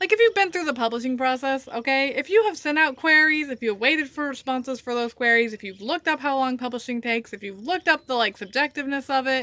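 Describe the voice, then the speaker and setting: Projecting in a raised voice, a high-pitched woman races along at a very fast pace with lively intonation, a bright, sharp tone and hardly any pauses. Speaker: writer. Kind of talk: casual talk to camera. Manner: ranting, conversational.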